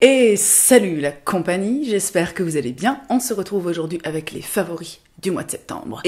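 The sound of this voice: A woman uses a raspy, hoarse put-on character voice at a medium pitch. She keeps a moderate pace, and her loudness swings widely.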